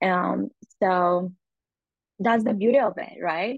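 A woman with a Spanish accent, medium in pitch, at a moderate pace. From Colombia, Medellin. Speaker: customer marketing manager. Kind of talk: casual interview.

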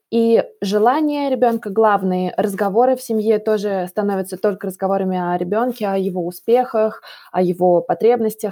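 A dark, mellow tone at a moderate pace with ordinary pitch variation. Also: woman, medium pitch for a woman. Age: 20s. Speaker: podcast host, young mother. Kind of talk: interview. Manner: measured, uses filler sounds.

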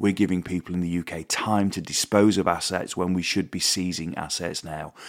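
Delivered in a British accent at a moderate pace, the speech has monotone, flat intonation on a very clean recording with a silent background. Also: man. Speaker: podcast host. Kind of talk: casual monologue. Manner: halting.

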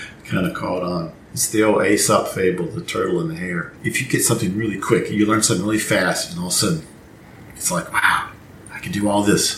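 A man talks at a very fast pace in a fairly low voice with ordinary pitch variation and big swings in loudness, amid noticeable background noise and audible room echo. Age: 60s. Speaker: trumpet professor. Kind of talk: interview.

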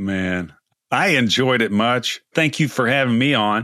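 Ordinary pitch variation colors the medium-pitched speech of a man with an American accent. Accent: East Texas, slightly scrubbed. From East Texas. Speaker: podcast host. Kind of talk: podcast interview, conversational.

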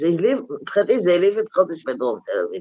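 A woman's voice at a medium pitch. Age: 60s. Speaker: right-wing activist. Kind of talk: interview. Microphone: unstable line.

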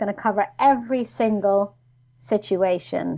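A woman talks in a New York accent. Her pitch varies in an ordinary way. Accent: New York American. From New York, US. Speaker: complaints consultant and former ombudsman. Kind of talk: casual interview chat. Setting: video call.

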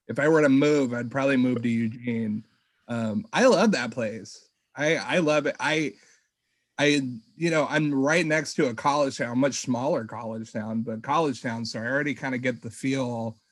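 With ordinary pitch variation and a moderate pace, an unremarkable speaking voice carries on. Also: man, medium pitch for a man. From Humboldt County, California. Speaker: podcast guest, cannabis grower. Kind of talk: casual chat.

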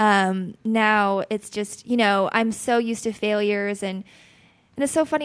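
A woman with an American accent speaks at a moderate pace, her fairly high voice moving with ordinary pitch variation. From Utah, US (Logan). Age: 20s. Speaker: singer-songwriter. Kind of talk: casual chat.

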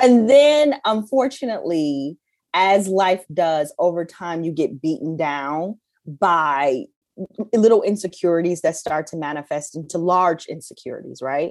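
Animated in tone with lively intonation, a woman speaks fairly slowly at a fairly low pitch, her loudness swinging widely. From Detroit, US Midwest. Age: 40s. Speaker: journalism executive. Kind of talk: casual chat. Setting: at home.

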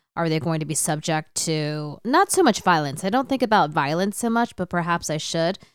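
A woman with an American accent, a plain, everyday voice, fairly low pitch and moderate pace, in a very clean recording with a silent background. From United States. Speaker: corporate sales executive. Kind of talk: panel discussion.

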